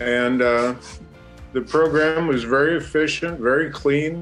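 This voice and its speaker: A man speaks with a fairly high pitch and ordinary pitch variation. Music plays in the background. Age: 60s. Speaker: homeowner, customer. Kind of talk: customer testimonial.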